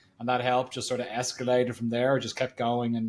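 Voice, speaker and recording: Here a man talks at a very fast pace with an Irish accent. His pitch is medium. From Ireland. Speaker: marketing agency founder. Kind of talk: podcast interview.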